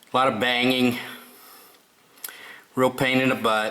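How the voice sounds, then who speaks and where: Behind the speech, noticeable background noise is present. The speaker is a man. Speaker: DIY auto repair vlogger. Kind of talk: tutorial. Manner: casual, with many filler words.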